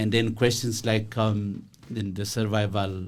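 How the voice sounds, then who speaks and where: This is a man speaking at a fairly low pitch. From Ethiopia. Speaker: professor. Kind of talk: radio interview. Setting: radio studio. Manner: halting.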